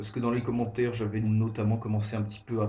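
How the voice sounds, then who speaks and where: A man's medium-pitched voice in monotone, flat intonation, with audible room echo and music in the background. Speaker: gaming youtuber. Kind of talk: let's play commentary. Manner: halting, many fillers.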